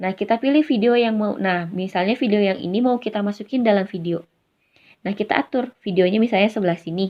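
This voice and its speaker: Talking at a very fast pace, a woman uses a medium pitch with ordinary pitch variation. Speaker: YouTuber. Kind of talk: tutorial. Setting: recorded on phone with earphone mic. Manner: casual.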